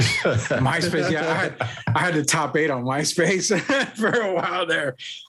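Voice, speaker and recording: A man with an animated tone speaks fairly slowly, with ordinary pitch variation and very even loudness, against noticeable background noise. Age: 40s. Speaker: sports podcast host. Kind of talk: promotional announcement; casual chat.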